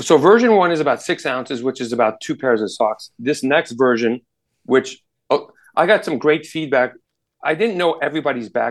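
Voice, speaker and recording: Against a quiet background, a man with an American accent and fairly high pitch speaks at a moderate pace. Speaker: outdoor gear entrepreneur. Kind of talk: casual interview. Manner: halting, many repetitions.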